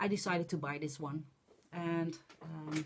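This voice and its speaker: A somewhat breathy woman with a Dutch accent, fairly low in pitch and fairly slow in pace. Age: 40s. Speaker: crafting vlogger. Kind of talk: casual vlog monologue. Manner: halting, many fillers.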